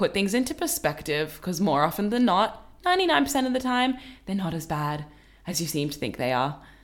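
The tone is animated and cheerful, with very wide pitch swings at a moderate pace. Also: woman, medium pitch for a woman. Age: 20s. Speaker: podcast host. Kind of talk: casual chat, playful game. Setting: at home. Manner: animated, cheerful.

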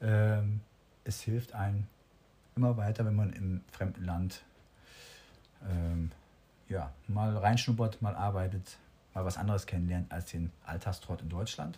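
Fairly low-pitched, somewhat breathy man at a fairly slow pace with ordinary pitch variation and long, frequent pauses. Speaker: professional musician. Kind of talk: casual interview. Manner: hesitant, many fillers.

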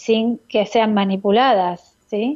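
A woman at a fairly high pitch with fairly even intonation, in an ordinary speaking voice. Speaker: radio host and biodecoding therapist. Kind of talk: radio call-in advice show. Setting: radio studio.

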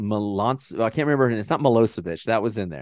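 A man's animated, medium-pitched voice with lively intonation and a Texan accent, over a quiet background. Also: dry, close sound with no echo. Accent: Texan American. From Texas. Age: 30s. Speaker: podcast host. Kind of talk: casual chat.

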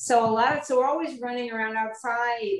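An ordinary speaking voice, fairly quick in pace and fairly even in intonation. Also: woman. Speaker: podcast host. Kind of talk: interview conversation.

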